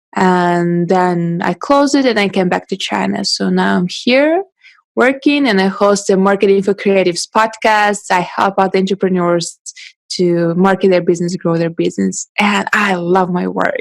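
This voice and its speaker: In a Russian accent, a woman speaks at a medium pitch. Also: ordinary pitch variation, moderate pace. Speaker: photographer and podcast host. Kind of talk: interview.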